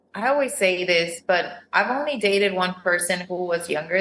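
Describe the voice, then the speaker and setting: A woman with a Spanish accent, medium pitch and a moderate pace. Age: 30s. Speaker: reality TV contestant. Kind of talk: casual chat.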